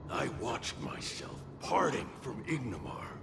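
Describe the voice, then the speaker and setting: A man in a put-on character voice with a theatrical tone, clear echo, and clear background noise. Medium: video game. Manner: sarcastic, theatrical.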